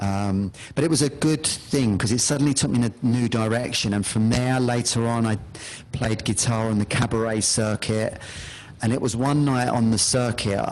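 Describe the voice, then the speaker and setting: In a London accent, a man of medium pitch speaks at a moderate pace with very even loudness and fairly even intonation, noticeable background noise behind him. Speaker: hypnotherapist. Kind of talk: interview.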